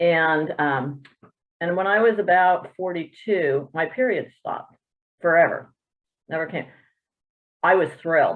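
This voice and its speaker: A woman talks at a fairly slow pace with long, frequent pauses. Her pitch is fairly low, with ordinary variation. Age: 60s. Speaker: triathlete webinar participant. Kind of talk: personal testimony. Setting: video call.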